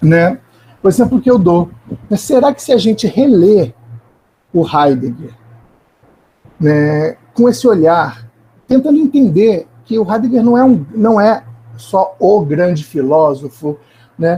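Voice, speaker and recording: This man has a high pitch, a dark, mellow tone, and very wide pitch swings. He speaks at a very slow pace with long, frequent pauses. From Rio de Janeiro, Brazil. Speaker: philosopher. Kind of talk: academic panel discussion. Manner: halting, many repeated fillers.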